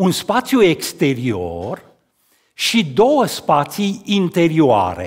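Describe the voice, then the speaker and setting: This man speaks at a very slow pace with a high pitch and very wide pitch swings. The background is quiet. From Romania, Cluj county (Transylvania); Romania. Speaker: sculptor. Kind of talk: talk at an art event. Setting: stage with audience. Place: church. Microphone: headset.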